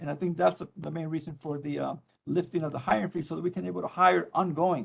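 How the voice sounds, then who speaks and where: Talking at a very fast pace, a man uses ordinary pitch variation in a Spanish accent. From Mexico, Tijuana. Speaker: probation department leader. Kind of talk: public meeting remarks. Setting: virtual meeting. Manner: halting.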